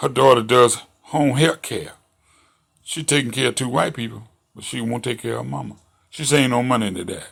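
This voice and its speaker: Fairly quick speech with vocal fry, ordinary pitch variation and big swings in loudness. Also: man, medium pitch for a man. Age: 60s. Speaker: commentary show host. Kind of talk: monologue commentary. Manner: animated.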